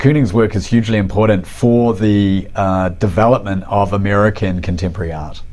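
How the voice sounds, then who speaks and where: Spoken at a moderate pace with ordinary pitch variation, the voice carries a New Zealand accent. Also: man. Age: 40s. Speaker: artist and art professor. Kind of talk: interview.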